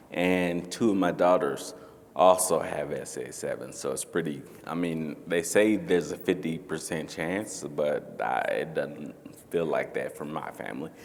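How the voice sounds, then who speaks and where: A man speaks with an American accent at a fairly slow pace. Audible room echo is present. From North Carolina. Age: 40s. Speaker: panelist with ataxia. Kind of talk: panel discussion. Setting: stage with audience.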